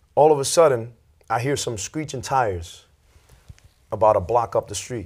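Medium-pitched and somewhat breathy, a man with a New York accent at a moderate pace, over a quiet background. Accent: New York City. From Lawrence, Massachusetts (born in New York City); Massachusetts. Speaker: youth pastor and prison ministry volunteer; guest. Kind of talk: testimony. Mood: earnest, personal storytelling. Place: studio. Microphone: lapel.

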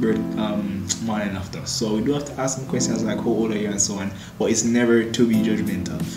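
Clear music plays in the background as a man with a Jamaican accent speaks at a fairly quick pace. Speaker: pharmacist. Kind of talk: casual talk to camera. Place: home room. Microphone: camera far.

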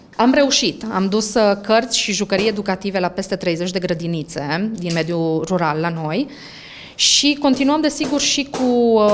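Over light background noise, a woman at a medium pitch speaks at a fairly slow pace, her pitch swinging very widely. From Romania. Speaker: language center owner, author; interviewee. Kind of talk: interview. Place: shop. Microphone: handheld.

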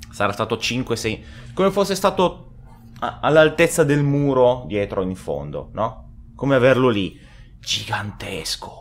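Pausing long and often, a man speaks very slowly at a medium pitch with very wide pitch swings. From Italy. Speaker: gaming youtuber. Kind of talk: gameplay reaction commentary. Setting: at home. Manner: animated. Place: home room. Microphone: studio mic.

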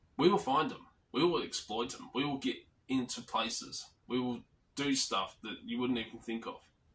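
Using an Australian accent, a man of medium pitch talks at a moderate pace, with ordinary pitch variation and big swings in loudness. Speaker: lock picking and physical security channel host. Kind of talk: casual vlog monologue. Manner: rambling with fillers.

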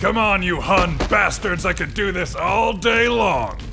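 Over loud background noise, a man with a high pitch raises and projects his voice at a fairly slow pace. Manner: cocky, brash, aggressive.

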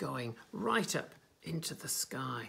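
A man with a gentle tone, speaking at a very slow pace. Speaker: nursery teacher. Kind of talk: children's picture book reading. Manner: gentle, engaging, addressing children directly. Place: home room. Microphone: phone near.

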